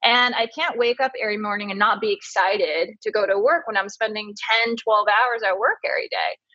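A woman with an unremarkable speaking voice, fairly high pitch, ordinary pitch variation and a fairly quick pace. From came from Taiwan at 3, grew up in US. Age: 30s. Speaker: beauty columnist and fragrance brand founder. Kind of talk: casual interview.

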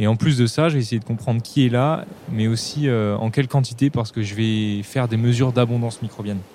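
Using a normal speaking voice, a man talks at a fairly quick pace and medium pitch with ordinary pitch variation. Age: 20s. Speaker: microbiologist, student researcher. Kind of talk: recorded first-person account.

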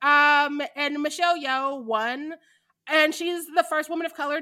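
A bright, sharp, animated tone in a raised, projected voice. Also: woman. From Missouri. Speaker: podcast co-host. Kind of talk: casual chat. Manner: animated, laughing often.

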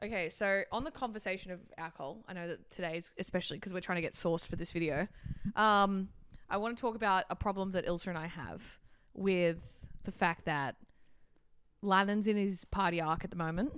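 A woman speaks at a fairly quick pace with an Australian accent. The recording is very clean, with a silent background. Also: medium pitch for a woman, ordinary pitch variation. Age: 20s. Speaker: podcast co-host. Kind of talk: casual chat.

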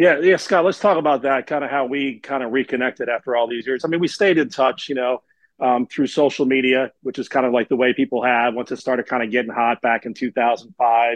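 With hardly any pauses, a man speaks in an ordinary speaking voice at a medium pitch and with ordinary pitch variation. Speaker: podcast host, broadcaster. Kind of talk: casual chat.

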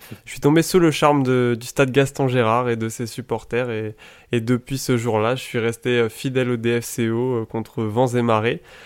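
On a very clean recording with a silent background, a man in an unremarkable speaking voice talks at a fairly slow pace and medium pitch with fairly even intonation. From Paris region, France. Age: 20s. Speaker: football fan media creator. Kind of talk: casual chat.

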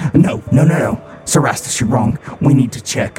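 A man does a put-on character voice at medium pitch and a moderate pace. There's a clear echo and clear background noise. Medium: actual play.

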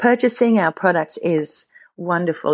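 A woman speaks at a moderate pace against a quiet background. The sound is dry and close, with no echo. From South Africa. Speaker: pastor. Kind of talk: interview.

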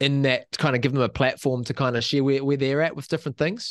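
Against a quiet background, a man with a New Zealand accent speaks at a medium pitch with fairly even intonation. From New Zealand, Waikato. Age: 20s. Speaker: school teacher and podcaster. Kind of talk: casual interview, faith testimony.

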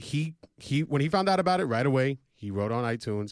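A loud male voice with very wide pitch swings, in a very clean recording with a silent background. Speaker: fantasy sports podcast host. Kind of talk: casual sports banter podcast. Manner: loud, animated.

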